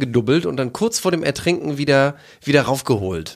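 Speaking at a fairly quick pace, a man has an unremarkable speaking voice with a fairly high pitch. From East Frisia, northern Germany. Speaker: podcast co-host. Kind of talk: casual chat.

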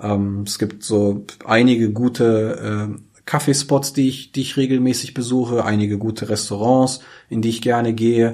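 A man talks at a moderate pace and medium pitch. His tone is dark and mellow, with fairly even intonation. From Germany, Braunschweig. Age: 30s. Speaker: DJ and club operator. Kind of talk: podcast interview. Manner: hesitant, many fillers.

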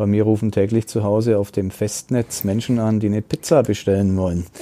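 A man speaks at a fairly quick pace with a dark, mellow tone, and the sound is dry and close with no echo. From Upper Palatinate (Neumarkt), Bavaria. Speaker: newspaper journalist and podcast host. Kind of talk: casual chat.

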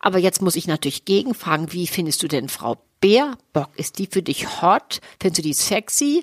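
A woman's normal speaking voice, fairly low in pitch, at a moderate pace with lively intonation, in a dry, close sound with no echo. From Hamburg, northern Germany. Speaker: sex therapist and podcast co-host. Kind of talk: casual chat.

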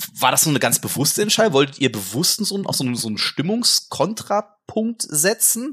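Talking at a fairly quick pace, a man uses vocal fry and very wide pitch swings. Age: 40s. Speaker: gaming journalist, podcast co-host. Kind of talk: casual chat.

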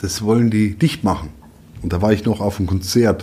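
A man's fairly low, dark, mellow voice, somewhat breathy, at a moderate pace. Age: 50s. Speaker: newspaper editor. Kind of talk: casual chat.

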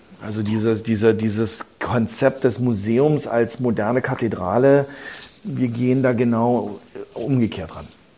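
Over noticeable background noise, the speaking unfolds at a fairly slow pace. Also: man, medium pitch for a man, fairly even intonation. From Berlin, Germany. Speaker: businessman and investor in culture venues. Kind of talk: interview. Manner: halting, many fillers and repetitions.

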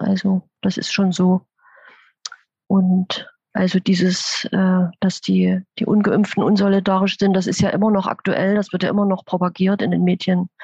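A woman speaks at a moderate pace and medium pitch, somewhat breathy, with monotone, flat intonation and very even loudness. The sound is dry and close with no echo, over a quiet background. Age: 50s. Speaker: intensive care nurse. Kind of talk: interview.

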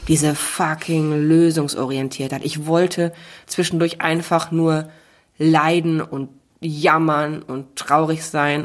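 A woman talks at a very slow pace in a very deep, low pitch. Her intonation stays monotone and flat. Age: 30s. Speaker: author and motivational speaker. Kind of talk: casual chat. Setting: makeshift home podcast booth.

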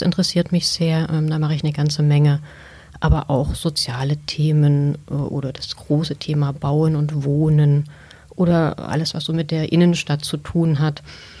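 Her very deep, low pitch, dark and mellow tone, and somewhat breathy sound come with fairly even intonation as this woman speaks at a fairly slow pace. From Saxony, Chemnitz. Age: 40s. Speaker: newspaper editor. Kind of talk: interview.

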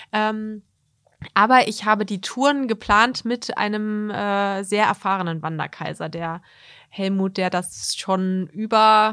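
A woman at medium pitch with fairly even intonation, on a very clean recording with a silent background. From Harz region, Germany. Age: 30s. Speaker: model and communications consultant, long-distance hiker. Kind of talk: interview. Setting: studio. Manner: hesitant with many fillers.

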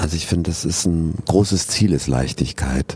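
A man's very deep, low-pitched voice over noticeable background noise. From southern Germany, Regensburg (Bavaria). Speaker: stage actor. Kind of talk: casual interview. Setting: theatre foyer.

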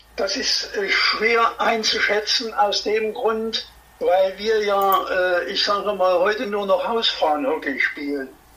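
A man's high, raised and projected voice at a very slow pace, with ordinary pitch variation over noticeable background noise. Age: 80s+. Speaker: former hockey player and coach. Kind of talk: interview.

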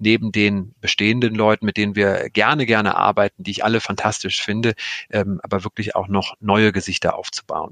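At a fairly quick pace, a man talks in a fairly low, monotone voice with flat intonation and a dry, close sound with no echo. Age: 40s. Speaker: streaming content executive. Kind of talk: interview. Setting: video call.

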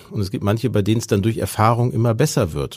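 A man speaks at a medium pitch in a somewhat breathy voice. The recording is very clean, with a silent background. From Ruhr area, Germany. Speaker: politician and speechwriter. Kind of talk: interview. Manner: fluent free speech.

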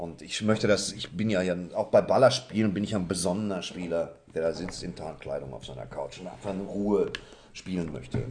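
Talking at a fairly quick pace, a man with a very deep, low pitch and ordinary pitch variation shows big swings in loudness. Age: 40s. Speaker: podcast co-host. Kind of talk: casual chat.

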